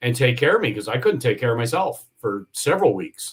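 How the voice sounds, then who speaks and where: A man talks in a medium pitch. His voice is somewhat breathy. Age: 60s. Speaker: yacht industry entrepreneur and injury survivor. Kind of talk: podcast interview. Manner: halting with frequent repetitions.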